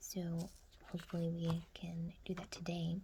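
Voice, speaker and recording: The speaker is soft-spoken and calm, with light background noise. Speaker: amateur watercolor artist and ASMR creator; ASMR creator. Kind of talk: soft-spoken ASMR painting tutorial. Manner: soft-spoken, calm.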